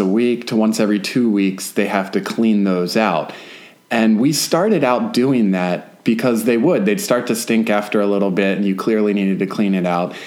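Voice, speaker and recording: Audible echo fills the room around a man. He keeps a moderate pace and ordinary pitch variation. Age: 30s. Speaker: podcast co-host and homesteader. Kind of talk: casual chat.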